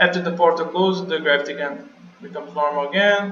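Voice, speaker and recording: Speaking with a non-native accent, a man talks at a moderate pace in a high pitch with ordinary pitch variation. Noticeable background noise is present. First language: not English. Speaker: game level designer. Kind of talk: developer commentary over gameplay. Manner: casual, hesitant.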